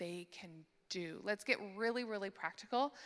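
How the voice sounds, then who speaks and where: Using an unremarkable speaking voice, a woman talks at a moderate pace with a medium pitch and ordinary pitch variation. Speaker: conference speaker on church care ministry. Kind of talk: conference talk.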